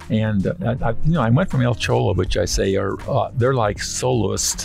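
With faint music in the background, a man speaks at a moderate pace in a fairly low pitch, his voice making very wide pitch swings. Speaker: restaurant owner. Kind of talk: interview answer. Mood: reflective, storytelling. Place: car. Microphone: studio mic.

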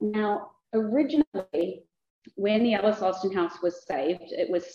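A New Zealand accent at a moderate pace, with ordinary pitch variation, audible room echo and a quiet background. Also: woman. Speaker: museum director. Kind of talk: conference presentation. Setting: lecture hall with audience and microphone. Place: hall. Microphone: too quiet at first, not speaking into microphone.

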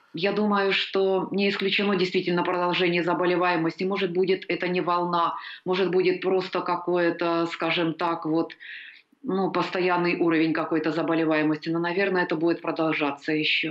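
Over a quiet background, a woman with a fairly low pitch talks fairly quickly in a monotone, flat intonation at very even loudness. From Ukraine. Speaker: immunologist. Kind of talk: interview. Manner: hesitant. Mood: calm, measured, professional. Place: home room. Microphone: video call.

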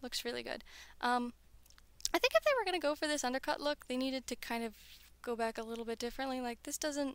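With an American accent, a woman speaks in a high voice with ordinary pitch variation. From US South, North Carolina. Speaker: toy reviewer. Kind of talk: unboxing review. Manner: soft-spoken; casual, hesitant with fillers.

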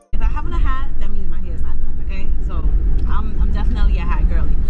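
A woman talks at a very fast pace. Loud background noise fills the clip. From Brooklyn, New York; New York. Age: 30s. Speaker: lifestyle vlogger. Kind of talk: casual vlog talk to camera. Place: car. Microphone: phone near.

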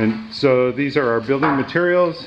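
Noticeable noise sits in the background while a man is talking. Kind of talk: casual vlog chat. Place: garage. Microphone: phone near.

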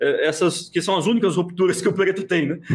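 A man talks at a very fast pace in a high voice, his intonation lively. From interior of São Paulo state, Brazil. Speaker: chess grandmaster, national champion; interviewee. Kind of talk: casual interview. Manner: hesitant, many fillers. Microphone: video call.

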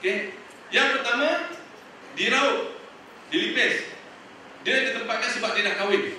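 The voice carries strong room echo and light background noise. The pace is moderate. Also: man. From Malaysia. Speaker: young teacher sharing experience. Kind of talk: talk to student teachers, casual and humorous. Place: hall. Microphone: podium.

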